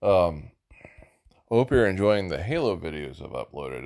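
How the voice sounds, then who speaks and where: The voice carries vocal fry. Its pace is moderate. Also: man. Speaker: gaming video creator. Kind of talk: casual gameplay commentary. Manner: halting.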